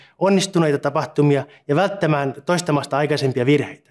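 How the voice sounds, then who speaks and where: His pitch runs fairly high. The man's pace is very fast. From Finland, Satakunta (Punkalaidun); Finland. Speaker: doctoral researcher. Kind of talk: scripted self-introduction. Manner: formal. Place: office. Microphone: lapel.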